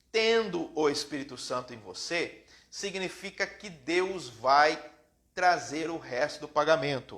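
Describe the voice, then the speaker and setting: A bright, sharp tone at a fairly slow pace. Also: man. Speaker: preacher. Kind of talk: sermon. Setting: live stream.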